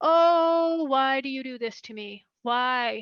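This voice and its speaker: A woman uses a put-on character voice, high in pitch and very slow in pace. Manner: exasperated, complaining.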